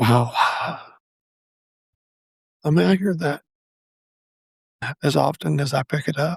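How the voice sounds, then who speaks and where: Heard dry and close with no echo, the voice has vocal fry and lively intonation, moving at a very slow pace with long, frequent pauses. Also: man, fairly high pitch for a man. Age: 60s. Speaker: podcast host. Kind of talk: personal reflective monologue. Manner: halting.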